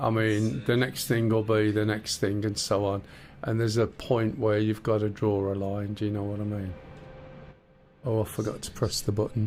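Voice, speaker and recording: The accent is British. The pace is moderate. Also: man. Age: 60s. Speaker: flight sim streamer. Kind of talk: live gameplay stream. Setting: live stream. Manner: ranty.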